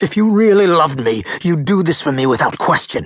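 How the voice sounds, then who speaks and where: A man's put-on character voice at a fairly high pitch. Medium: read story. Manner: pleading, needy.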